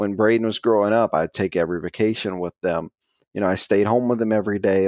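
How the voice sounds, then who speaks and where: This man speaks with an American accent and a fairly low pitch. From US South, south Louisiana (Cajun). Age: 30s. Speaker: professional poker player. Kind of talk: casual interview.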